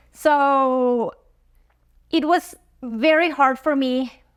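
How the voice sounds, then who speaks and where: High pitch from a woman with a Spanish accent and ordinary pitch variation. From Mexico, Chihuahua. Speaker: dentist. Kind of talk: interview testimony. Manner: halting, with fillers.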